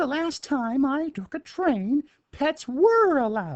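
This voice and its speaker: Putting on a character voice, a man pitches it extremely high. He goes at a fairly slow pace. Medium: read story. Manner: brisk, certain.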